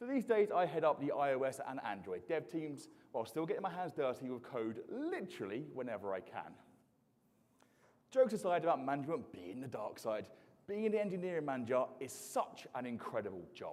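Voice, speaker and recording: An animated man with an English accent talks at a fairly quick pace and a fairly high pitch, with some vocal fry. His pitch swings very widely. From southeast England, Isle of Sheppey. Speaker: software engineering manager and conference speaker. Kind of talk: conference talk. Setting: stage with audience.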